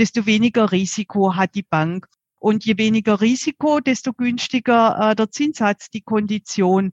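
A woman speaks at a fairly slow pace with a southern German accent, her fairly high, somewhat breathy voice sounding dry and close with no echo against a quiet background. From southern Germany. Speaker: mortgage advisor. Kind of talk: expert interview. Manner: frequent fillers.

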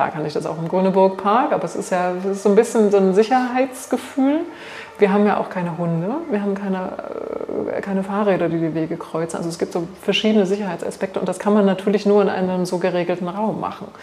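A woman at medium pitch and a very fast pace, ordinary pitch variation, over noticeable background noise. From Thuringia, Germany. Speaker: biologist, botanical garden director. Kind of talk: interview. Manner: hesitant, with fillers.

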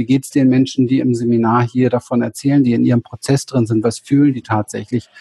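Somewhat breathy and dark, mellow in tone, the voice has a dry, close sound with no echo. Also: man. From Berlin, Germany. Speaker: spiritual coach and therapist. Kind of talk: interview. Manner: halting.

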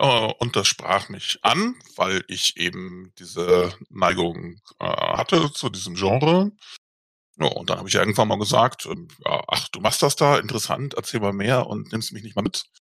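Recorded with a dry, close sound and no echo, a man talks at a fairly slow pace, his loudness swinging a lot. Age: 40s. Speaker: tabletop role-playing game master. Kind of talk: casual interview. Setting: video call.

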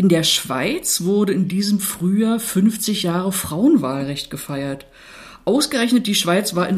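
Noticeable background noise sits behind a woman at a medium pitch. She speaks at a fairly slow pace. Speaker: podcast co-host, municipal equality officer. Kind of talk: scripted conversation on women's voting rights.

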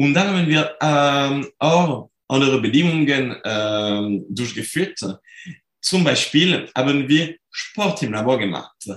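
A man with a fairly high pitch talks at a very slow pace in a French accent. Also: lively intonation. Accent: French accent, clearly audible. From France. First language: French (speaking German). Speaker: sport psychology researcher. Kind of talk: interview. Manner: halting, many fillers.

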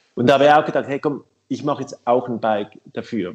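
A man speaks very fast. The intonation remains fairly even throughout. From Switzerland. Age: 50s. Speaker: bicycle company co-founder. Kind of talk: casual interview.

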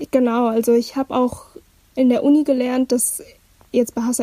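A woman speaks at a high pitch in a monotone, flat delivery. The sound is dry and close, with no echo. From Hamburg, Germany. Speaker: university student. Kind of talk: casual chat.

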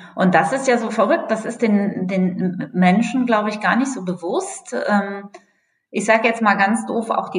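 Somewhat breathy and fairly high in pitch, a woman speaks at a moderate pace with lively intonation. Room echo is audible. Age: 40s. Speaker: energy company communications manager. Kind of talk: podcast interview.

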